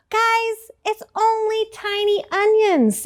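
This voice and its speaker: A woman puts on a squeaky character voice, with a British-free, extremely high pitch. She speaks at a very slow pace. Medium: read story.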